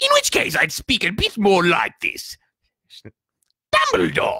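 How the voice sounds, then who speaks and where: This man is doing a put-on character voice. His delivery is fairly slow. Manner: silly, puppet-like.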